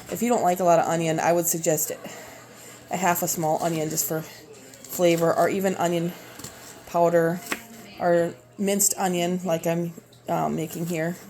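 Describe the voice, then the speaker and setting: In a Minnesotan accent, a woman with a fairly low pitch speaks in a monotone, flat intonation with long, frequent pauses over noticeable background noise. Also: moderate pace. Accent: Minnesota. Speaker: home cooking video creator. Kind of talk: cooking tutorial. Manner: casual, halting with fillers.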